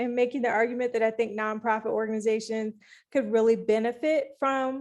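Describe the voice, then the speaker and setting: In a very clean recording with a silent background, a woman speaks at a high pitch. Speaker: workshop facilitator. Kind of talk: workshop presentation.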